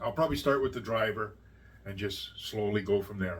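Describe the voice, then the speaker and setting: A medium-pitched man with a Canadian accent. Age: 60s. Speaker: YouTuber. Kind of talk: casual vlog talk. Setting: at home. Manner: halting.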